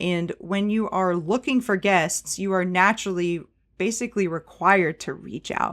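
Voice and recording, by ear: A woman speaks at a moderate pace with a fairly low pitch and ordinary pitch variation. Her tone is fairly bright, on a very clean recording with a silent background.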